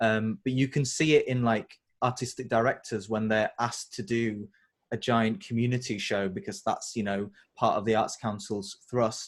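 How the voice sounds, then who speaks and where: A man with a Yorkshire accent, medium pitch, ordinary pitch variation and a moderate pace, over a quiet background. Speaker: interviewer. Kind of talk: interview.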